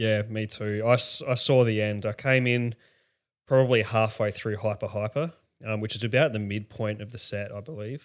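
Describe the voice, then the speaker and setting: At a moderate pace, a man with an Australian accent speaks with fairly even intonation on a very clean recording with a silent background. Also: fairly low pitch for a man. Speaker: festival-goer, podcast guest. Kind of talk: casual chat. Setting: spare bedroom, shared mic.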